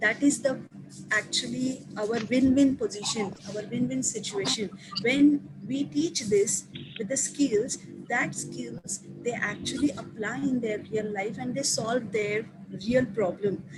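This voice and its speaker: There is noticeable background noise as a woman talks fairly slowly at a fairly high pitch, her intonation lively. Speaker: teacher presenting to colleagues. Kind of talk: online staff training presentation. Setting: video call.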